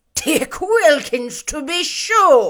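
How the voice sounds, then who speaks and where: A woman's put-on character voice, extremely high-pitched, with very wide pitch swings. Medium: read story.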